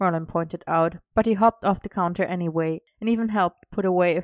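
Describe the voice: Against a quiet background, the plain reading aloud shows ordinary pitch variation.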